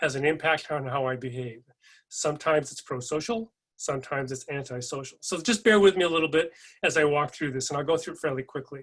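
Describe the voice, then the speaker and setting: Speaking fairly quickly with an American accent, a man uses a fairly high pitch with ordinary variation and a bright, sharp tone against a quiet background. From California. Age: 60s. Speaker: keynote speaker. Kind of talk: keynote speech.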